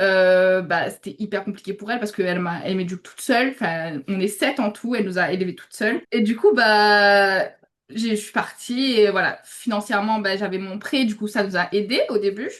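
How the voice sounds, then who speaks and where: At a moderate pace, a woman with a medium pitch and ordinary pitch variation speaks with big swings in loudness. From Réunion. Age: 20s. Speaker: UGC content creator, student. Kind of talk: interview. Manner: hesitant, many fillers.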